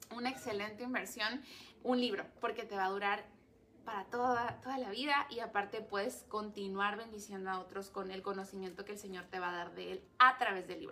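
Her tone is bright and sharp at a medium pitch. The woman talks at a fairly quick pace with fairly even intonation. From Mexico, Ensenada (Baja California). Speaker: teacher and avid reader. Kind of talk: live-streamed book talk. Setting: reading room in a bookstore.

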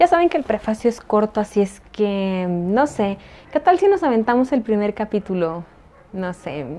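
Using very wide pitch swings, a woman speaks at a moderate pace with a fairly high pitch and a dark, mellow tone. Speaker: podcaster and fiction writer. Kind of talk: reading aloud; casual chat.

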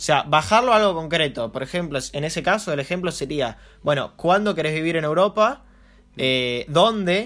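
Lively intonation marks this man's fairly high voice, an unremarkable speaking voice delivered at a moderate pace. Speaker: marketing podcast host and entrepreneur. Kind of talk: casual chat.

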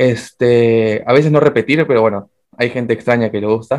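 A man's voice with fairly even intonation. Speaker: podcast co-host. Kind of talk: casual chat.

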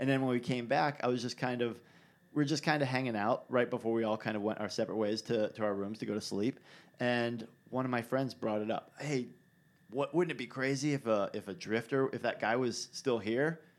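In a very clean recording over a silent background, a man speaks in an unremarkable speaking voice. His pitch is medium, his intonation fairly even, and his pace fairly quick. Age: 30s. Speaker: podcast host and bike rider. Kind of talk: casual chat. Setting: studio.

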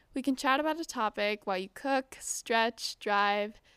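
In a dry, close, echo-free recording with a silent background, a woman with an American accent speaks at a fairly high pitch with ordinary pitch variation. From US, Southern California. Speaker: podcast host, ballet dancer. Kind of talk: solo podcast introduction.

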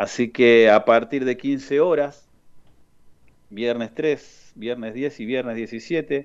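A man's medium-pitched voice, fairly even in intonation, at a very slow pace. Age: 40s. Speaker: youth football coordinator. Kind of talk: radio interview. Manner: halting.

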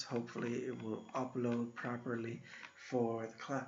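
Background noise is noticeable behind a man speaking. He has a medium-pitched voice and an American accent. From Iowa, US Midwest. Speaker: university instructor. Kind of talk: recorded lecture. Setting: solo recorded video. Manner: casual, conversational.

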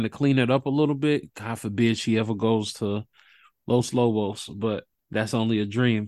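A man's medium-pitched voice at a moderate pace, with ordinary pitch variation and a quiet background. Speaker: podcast host. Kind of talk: casual sports podcast chat. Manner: animated, conversational.

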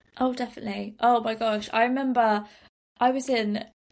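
A woman with a British accent speaks in a monotone, flat intonation. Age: 20s. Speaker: personal development entrepreneur. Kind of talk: interview.

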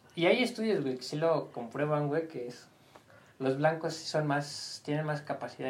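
Moderate pace and ordinary pitch variation, with big swings in loudness, noticeable background noise and audible room echo. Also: man. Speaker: podcast host. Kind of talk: casual chat.

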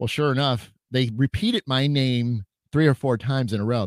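A man talks at a moderate pace and a medium pitch in an animated, energetic tone. The sound is dry and close with no echo, and the recording is very clean with a silent background. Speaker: psychic medium hosting a live chat show. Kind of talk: casual livestream chat with viewers. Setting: live video stream with chat.

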